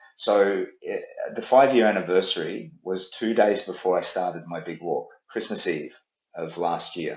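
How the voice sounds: A low-pitched man speaks at a fairly slow pace. Room echo is audible around him.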